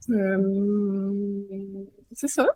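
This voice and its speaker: In a Quebec accent, a woman speaks with a dark, mellow tone at medium pitch, somewhat breathy, in a dry, close sound with no echo. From Quebec, Montreal. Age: 30s. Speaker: journalist and author. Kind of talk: casual interview. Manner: hesitant, many fillers.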